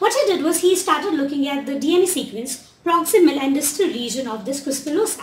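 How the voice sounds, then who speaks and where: A woman talks at a fairly quick pace with hardly any pauses, her pitch high and her intonation lively. Audible room echo is present. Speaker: postdoctoral researcher giving a talk; presenter. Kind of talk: lecture. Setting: library lecture room with audience. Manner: fast. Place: hall. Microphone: camera far.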